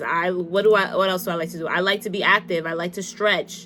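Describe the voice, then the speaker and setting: A woman's intonation stays fairly even as she speaks. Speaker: lifestyle vlogger giving advice. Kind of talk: casual advice monologue. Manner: fast; halting.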